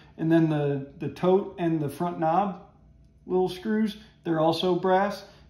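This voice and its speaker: With audible room echo around him, a man talks in fairly even intonation. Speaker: woodworking hobbyist host. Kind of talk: tutorial. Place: workshop. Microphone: camera far.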